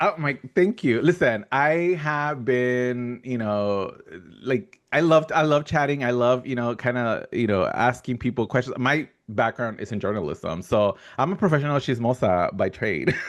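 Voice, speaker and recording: The speaker's intonation is lively and the pace moderate. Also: man, medium pitch for a man. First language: not English. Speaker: podcast host, fellowship co-creator. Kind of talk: casual interview chat. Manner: halting, many fillers.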